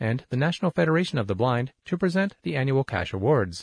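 A somewhat breathy, medium-pitched male voice at a very fast pace with very wide pitch swings, in a dry, close sound with no echo and a quiet background. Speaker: magazine audio narrator. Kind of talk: reading aloud.

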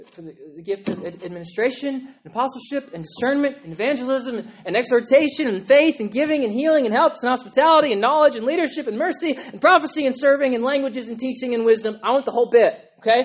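Noticeable background noise accompanies very fast speech in an American accent. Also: hardly any pauses. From Oklahoma. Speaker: pastor. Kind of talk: sermon. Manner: animated.

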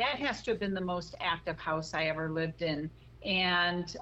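Speaking at a fairly slow pace with an American accent, a woman has a fairly low pitch, a bright, sharp tone and vocal fry. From US Midwest, Chicago. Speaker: paranormal investigator. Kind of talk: interview. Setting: phone call.

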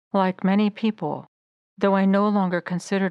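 A woman with an American accent talks in a plain, everyday voice at medium pitch. The recording is very clean, with a silent background and a dry, close sound with no echo. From United States. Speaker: faith podcaster. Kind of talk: personal testimony.

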